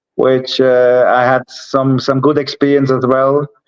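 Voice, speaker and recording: The speaker is a man. He has a Swiss German accent. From Switzerland. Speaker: entrepreneur. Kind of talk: interview. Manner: halting.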